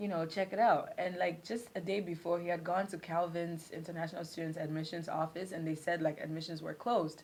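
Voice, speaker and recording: A woman with a Ghanaian accent talks at a fairly low pitch and a fairly quick pace. Her intonation stays fairly even, with hardly any pauses. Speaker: former international student. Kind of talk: casual chat.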